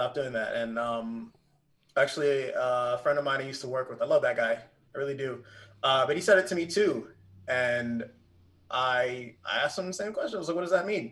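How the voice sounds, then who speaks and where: A man speaks with an American accent at a fairly high pitch and a fairly quick pace. His intonation is lively, broken by long, frequent pauses. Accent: others say he talks proper. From Pennsylvania, Poconos. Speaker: streamer and gamer. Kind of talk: casual chat.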